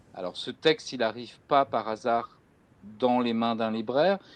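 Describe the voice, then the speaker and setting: In a quiet background, a man talks at a moderate pace with a medium pitch and ordinary pitch variation. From France. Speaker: bookseller and crime fiction specialist interviewer. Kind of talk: literary interview. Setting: video call. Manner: halting, many hesitations.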